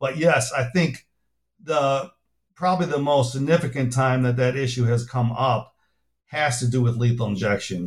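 A somewhat breathy man speaks with an American accent at a moderate pace. His pitch is medium with ordinary variation, and his loudness stays very even. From US Midwest, Chicago. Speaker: pharmacology professor and author. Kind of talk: interview.

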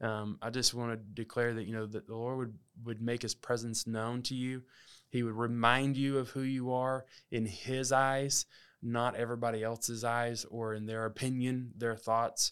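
A man with a Southern US accent speaks at a moderate pace in monotone, flat intonation, on a very clean recording with a silent background. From Alabama. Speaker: podcast host. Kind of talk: casual monologue.

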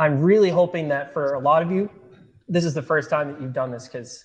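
A man with a fairly high pitch and an unremarkable speaking voice. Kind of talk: guided barefoot tutorial. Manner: calm, instructive, conversational, filler-heavy; friendly, paced step-by-step demonstration.

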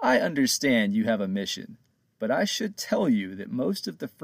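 Reading aloud in a natural voice, against a quiet background.

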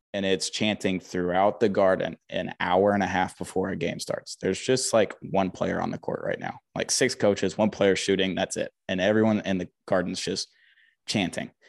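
With an American accent, a man uses an ordinary speaking voice of fairly low pitch, fairly even intonation and a moderate pace, in a dry, close sound with no echo. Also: quiet background. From US South, Huntsville, Alabama. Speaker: sports media contributor. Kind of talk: casual chat.

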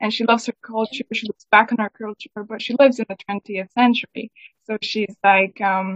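A woman's fairly high voice, flat and monotone, at a moderate pace. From Scotland. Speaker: singer-songwriter. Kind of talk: casual interview chat. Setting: video call from the UK.

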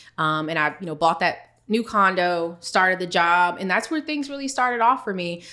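A woman's medium-pitched voice, bright and sharp in tone, at a moderate pace. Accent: American. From US, DC/Maryland area. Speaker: financial expert and business founder. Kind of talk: casual interview.

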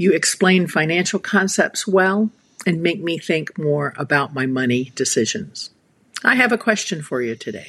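A woman with a plain, everyday voice speaks at fairly low pitch with lively intonation. Her pace is moderate, against a quiet background. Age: 60s. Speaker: listener with a recorded question. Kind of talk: recorded voicemail question.

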